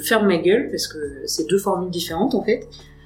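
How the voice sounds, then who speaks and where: A woman with a medium-pitched voice talks very fast amid noticeable background noise. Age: 20s. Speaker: tattoo artist. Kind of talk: casual chat. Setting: tattoo studio.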